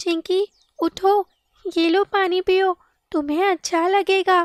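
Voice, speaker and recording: A woman does a cartoonish character voice at an extremely high pitch. She speaks at a very slow pace in a monotone, flat way. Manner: warm, encouraging.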